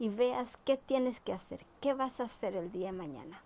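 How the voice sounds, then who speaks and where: This woman's fairly high voice has a dark, mellow tone and unfolds at a fairly slow pace. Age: 40s. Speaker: entrepreneur and vlogger. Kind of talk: motivational talk to camera.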